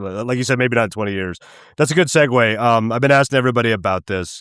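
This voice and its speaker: A man talks very fast in an American accent. His pitch sits in the medium range. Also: ordinary pitch variation. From western Colorado. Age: 40s. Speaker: podcast host. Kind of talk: interview. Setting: remote call.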